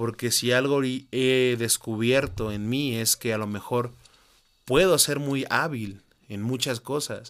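A man in a normal speaking voice, medium in pitch, with ordinary pitch variation. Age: 20s. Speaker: podcaster. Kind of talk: personal monologue.

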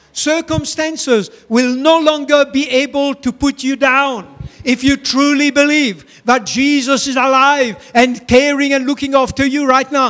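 The delivery is animated in tone and fairly slow in pace. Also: man. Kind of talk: sermon. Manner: fervent, animated preaching with call-and-response, rising exhortations; repetitive, emphatic, pausing for congregation to answer.

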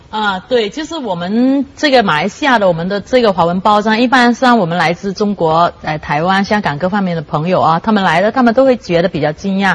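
A woman speaks at a fairly quick pace with hardly any pauses. Noticeable background noise runs underneath. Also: medium pitch for a woman. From Malaysia. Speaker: writer and newspaper journalist. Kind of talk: talk show discussion.

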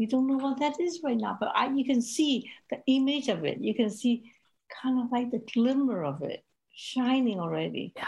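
A woman with a Cantonese accent speaks at a fairly slow pace. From Hong Kong. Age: 70s. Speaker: ministry leader and women's advocate. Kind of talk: casual interview.

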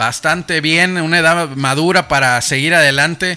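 The tone here is animated. The pace is moderate. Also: man. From Mexico, Monterrey. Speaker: radio host. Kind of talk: live radio interview.

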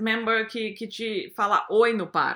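A woman's fairly high voice on a very clean recording with a silent background. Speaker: advertising creative lead. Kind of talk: interview.

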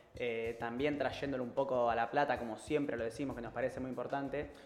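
A man with a medium pitch rushes along at a very fast pace in a monotone, flat intonation over noticeable background noise. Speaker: community radio co-host. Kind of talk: casual chat. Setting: studio.

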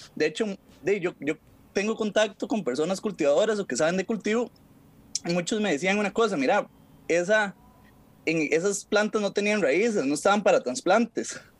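This man has a high pitch and an ordinary amount of pitch variation, speaking with a Costa Rican accent. His pace is moderate, broken by long, frequent pauses. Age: 20s. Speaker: legal commentator. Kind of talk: casual chat.

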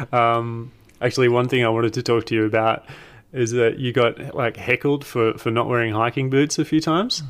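A man in an Australian accent speaks at a fairly quick pace, keeping fairly even intonation and very even loudness. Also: medium pitch for a man. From Australia (Tasmania). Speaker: hiker and video creator. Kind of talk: casual chat.

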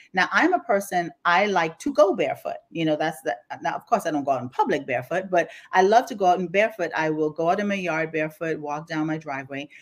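Talking at a very fast pace in a Bahamian accent, a woman sounds animated, her fairly low voice showing ordinary pitch variation. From Bahamas, Grand Bahama. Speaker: life coach. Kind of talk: casual chat. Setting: remote, on vacation.

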